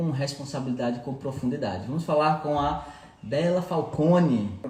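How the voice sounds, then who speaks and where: Speaking with a northeastern Brazilian accent, a man talks at a moderate pace with ordinary pitch variation, amid noticeable background noise and audible room echo. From Brazil, Recife (Pernambuco). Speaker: aromatherapy teacher and podcast host. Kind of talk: live podcast interview.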